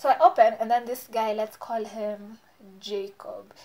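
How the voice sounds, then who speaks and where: Noticeable background noise runs under this woman's fairly high-pitched voice. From Kenya, Nairobi. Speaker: beauty vlogger. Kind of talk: storytime vlog. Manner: casual, animated.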